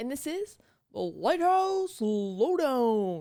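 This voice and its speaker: A female-sounding put-on character voice, high-pitched, with very wide pitch swings and a very slow pace. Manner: booming, theatrical, over the top.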